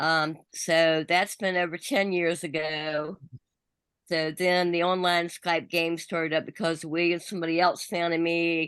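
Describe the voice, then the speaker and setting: A woman speaks with a fairly low pitch and monotone, flat intonation. Her loudness stays very even. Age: 70s. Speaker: evicted online game contestant. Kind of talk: casual chat. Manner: fast.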